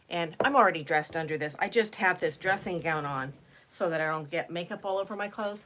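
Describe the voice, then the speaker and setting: At a fairly quick pace, a woman speaks in a normal speaking voice with a fairly low pitch. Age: 60s. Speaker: beauty vlogger. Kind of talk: casual chat. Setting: livestream. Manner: chatty, casual.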